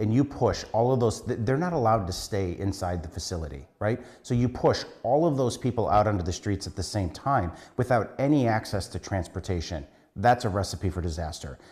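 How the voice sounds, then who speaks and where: A man's fairly low, somewhat breathy voice at a fairly quick pace, lively in intonation, over a quiet background. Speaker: city council member. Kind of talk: interview answer. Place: office.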